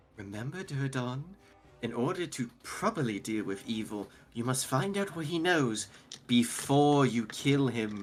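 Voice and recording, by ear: A booming male put-on character voice at a medium pitch and a moderate pace.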